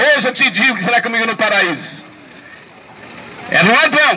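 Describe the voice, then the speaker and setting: A man speaks in a raised, projected voice with ordinary pitch variation. Crowd noise fills the background. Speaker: street preacher. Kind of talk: street sermon to passers-by. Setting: outdoors, public square.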